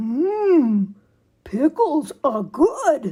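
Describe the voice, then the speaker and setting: Her pitch is high for a woman and swings very widely in a put-on character voice. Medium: read story.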